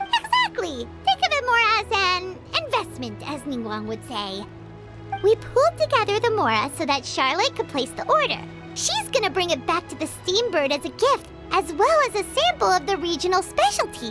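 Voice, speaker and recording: Clear music can be heard behind the speech. The cartoonish character voice talks at a moderate pace. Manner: lively, casual.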